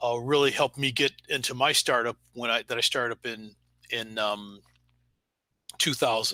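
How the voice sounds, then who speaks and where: Recorded very cleanly with a silent background and a dry, close sound with no echo, a man with an American accent speaks at a moderate pace in a medium-pitched, bright, sharp voice, his intonation fairly even and his pauses long and frequent. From Detroit, Michigan, US. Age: 60s. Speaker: ethical hacker and author. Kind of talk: interview. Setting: live stream.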